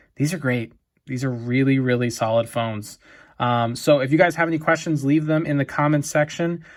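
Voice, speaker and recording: Over a very clean recording with a silent background, a man of medium pitch speaks in an ordinary speaking voice. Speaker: tech reviewer. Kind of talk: product review video. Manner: casual, many fillers.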